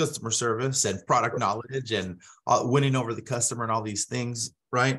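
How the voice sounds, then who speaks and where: His voice sits at medium pitch and moves at a moderate pace. This man has a plain, everyday voice. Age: 30s. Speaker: podcast host. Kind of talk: sales pitch; interview.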